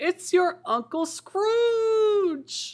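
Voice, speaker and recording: A squeaky, put-on character voice. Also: man, extremely high pitch for a man. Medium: read story. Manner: hearty, good-humoured.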